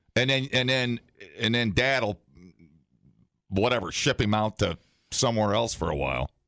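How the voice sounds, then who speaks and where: At a moderate pace, a man with a bright, sharp tone and medium pitch speaks with vocal fry, ordinary pitch variation and long, frequent pauses, in a dry, close sound with no echo. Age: 30s. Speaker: morning radio co-host. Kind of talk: casual chat. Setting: studio. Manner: animated.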